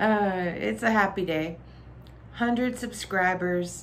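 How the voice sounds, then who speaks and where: Over light background noise, a woman speaks with a Southern US accent and ordinary pitch variation. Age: 50s. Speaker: vlogger housewife. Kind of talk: casual vlog. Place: home room.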